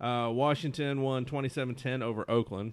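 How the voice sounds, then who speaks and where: A man with an unremarkable speaking voice talks fairly quickly at a medium pitch. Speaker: podcast co-host. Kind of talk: casual chat.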